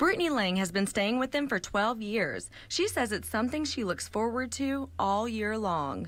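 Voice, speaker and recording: Hardly pausing, a woman speaks in a plain, everyday voice at a moderate pace, with lively intonation and very even loudness. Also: fairly high pitch for a woman. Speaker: TV news reporter. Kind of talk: TV news reporting and on-air reel.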